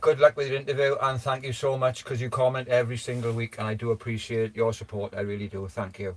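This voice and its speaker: Somewhat breathy speech comes at a very fast pace with hardly any pauses and fairly even intonation. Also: man, medium pitch for a man. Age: 50s. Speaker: livestreamer. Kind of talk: casual chat. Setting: livestream.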